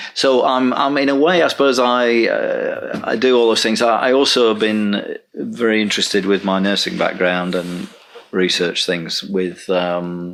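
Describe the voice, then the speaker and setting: Medium pitch from a man, with lively intonation, very even loudness and a fairly slow pace, over noticeable background noise. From northern England. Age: 60s. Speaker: Buddhist order member and meditation teacher. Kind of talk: interview. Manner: halting, with many fillers.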